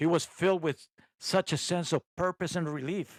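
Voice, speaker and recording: A man's fairly high-pitched voice moves at a moderate pace on a very clean recording where the background is silent. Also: dry, close sound with no echo. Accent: non-native. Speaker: private investigator and podcast host. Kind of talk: first-person true crime narration. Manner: sometimes poorly enunciated.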